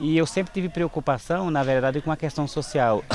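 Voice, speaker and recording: With music behind him, a man talks using ordinary pitch variation. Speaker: NGO founder. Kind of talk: documentary interview.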